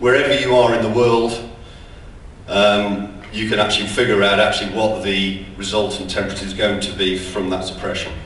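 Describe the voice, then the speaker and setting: Over noticeable background noise and audible room echo, a man with an English accent talks at a fairly quick pace with ordinary pitch variation. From England. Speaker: sales director giving a conference talk. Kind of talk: conference presentation. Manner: hesitant, many ums.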